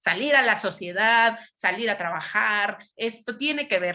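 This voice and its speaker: This woman has a bright, sharp tone and a fairly high pitch. Her intonation is lively. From Mexico City. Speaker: psychologist and lecturer. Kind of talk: lecture. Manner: loud.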